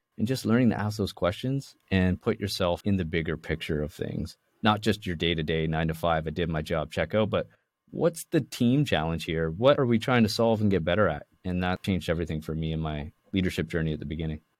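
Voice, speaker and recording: Someone with a Canadian accent speaks at a fairly quick pace. The recording is very clean, with a silent background. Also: man, very deep, low pitch for a man, ordinary pitch variation. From Canada, Toronto area. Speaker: tech company co-founder. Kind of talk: interview.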